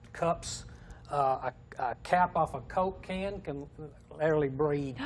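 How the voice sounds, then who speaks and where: A man speaks at a fairly slow pace, somewhat breathy, with ordinary pitch variation. Light background noise sits behind him. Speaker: guest. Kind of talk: interview answer. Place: studio. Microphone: lapel.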